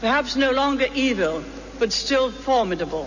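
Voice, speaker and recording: Noticeable background noise sits behind a woman's voice. She speaks in a high pitch with very wide pitch swings. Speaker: former prime minister giving a speech. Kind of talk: formal public speech at a birthday fundraising event. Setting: live event, public address.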